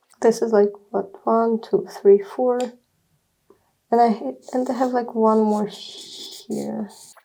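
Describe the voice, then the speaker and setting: A woman mumbling very slowly with a Russian accent, fairly high in pitch, fairly even in intonation, broken by long, frequent pauses. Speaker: artist. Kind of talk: casual talk while drawing. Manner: halting.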